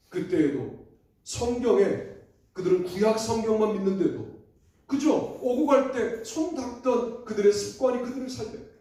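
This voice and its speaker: A man's extremely high-pitched voice with a dark, mellow tone, lively intonation and audible room echo. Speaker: pastor. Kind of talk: sermon. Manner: fast.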